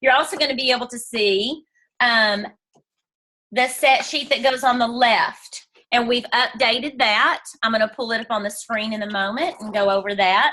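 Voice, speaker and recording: A woman speaks at a moderate pace in a high pitch. Her tone is bright and sharp, with ordinary pitch variation. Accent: American. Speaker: direct sales team leader. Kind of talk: team training call. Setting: video call from bedroom.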